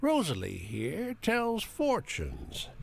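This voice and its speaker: In a put-on character voice, a man drawls at a fairly slow pace over clear background noise. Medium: video game. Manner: slow, folksy drawl.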